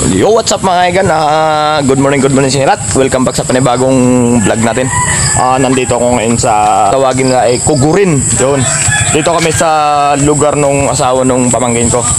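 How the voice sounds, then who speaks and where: With music in the background, the speaker talks at a fairly quick pace and varies pitch in an ordinary way. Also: man. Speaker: vlogger. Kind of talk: casual vlog chat. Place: open country. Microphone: phone near.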